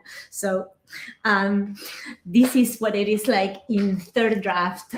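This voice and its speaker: A woman's medium-pitched voice with an Argentine accent, very slow pace and fairly even intonation. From Argentina. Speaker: aspiring novelist.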